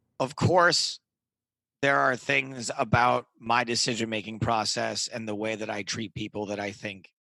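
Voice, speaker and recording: An unremarkable speaking voice belongs to a man at a medium pitch, talking at a fairly slow pace. The background is quiet. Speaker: poker commentator and comedian, interview guest. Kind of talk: podcast interview answer.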